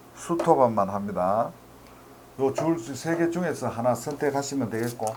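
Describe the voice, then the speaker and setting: Audible room echo surrounds a man speaking with a Gyeongsang accent. His pitch is medium, his intonation lively and his pace fairly slow. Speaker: math tutor. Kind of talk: lecture.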